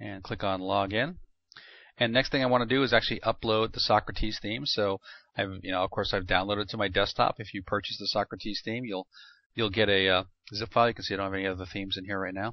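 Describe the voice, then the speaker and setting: Speech races along very fast. The intonation remains fairly even. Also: man, fairly low pitch for a man. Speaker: web marketer demonstrating a product. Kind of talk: screen-recorded software tutorial. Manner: casual with frequent fillers.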